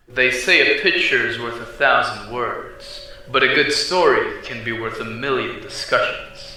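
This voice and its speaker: The pace is fairly slow, with hardly any pauses and big swings in loudness. Noticeable background noise runs underneath. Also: man. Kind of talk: document reading.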